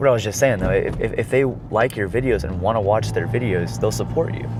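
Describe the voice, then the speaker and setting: There's audible room echo and noticeable background noise as a man speaks fairly quickly. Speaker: car vlogger. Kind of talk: casual chat while driving. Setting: in a car. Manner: talkative.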